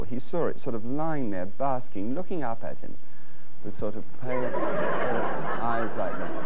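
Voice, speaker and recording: A man keeps a fairly slow pace, with loud background noise around him. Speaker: TV cooking show host. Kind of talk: comic storytelling to audience. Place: studio.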